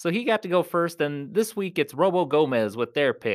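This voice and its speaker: A man's high-pitched, animated voice at a moderate pace, with very wide pitch swings, in a very clean recording with a silent background. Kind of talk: live ring announcing, playful mock-wrestling MC introductions. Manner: animated, showy, rhyming hype-man patter with laughs.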